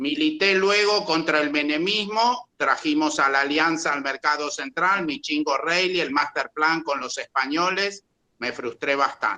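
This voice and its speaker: Speaking at a fairly slow pace, a man with a fairly high pitch and a bright, sharp tone shows ordinary pitch variation. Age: 60s. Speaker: agronomist. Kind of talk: audience comment.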